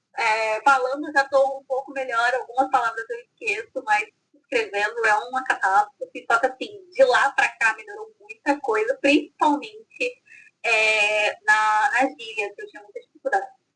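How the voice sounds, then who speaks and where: A woman speaks in a raised, projected voice at a moderate pace, her high pitch swinging very widely, her tone bright and sharp, and her loudness rising and falling in big swings. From France (Provence). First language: French (speaking Portuguese). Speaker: author. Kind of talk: casual interview.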